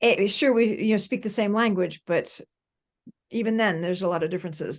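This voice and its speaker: Moderate pace with an American accent, ordinary pitch variation, long, frequent pauses and a quiet background. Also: woman. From United States. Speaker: professor and author. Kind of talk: podcast interview.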